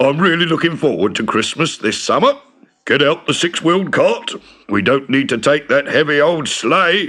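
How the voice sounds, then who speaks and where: In a put-on character voice, a man speaks at a moderate pace with a fairly high, rumbling tone and very even loudness. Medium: read story. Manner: grumbling, complaining.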